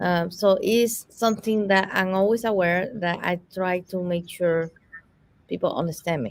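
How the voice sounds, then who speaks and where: With a non-native accent, a woman speaks at a fairly slow pace using ordinary pitch variation. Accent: foreign. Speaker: summit host. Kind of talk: live virtual interview Q&A.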